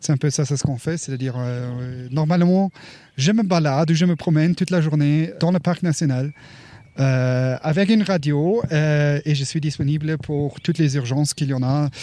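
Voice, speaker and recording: This man talks at a moderate pace, his fairly high pitch moving with ordinary variation. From Luxembourg. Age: 40s. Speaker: park ranger. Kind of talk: interview. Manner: halting.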